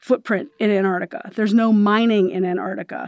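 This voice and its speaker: A woman with an unremarkable speaking voice talks at medium pitch and a moderate pace with ordinary pitch variation, in a dry, close recording with no echo and a silent background. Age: 50s. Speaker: news editor. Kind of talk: interview.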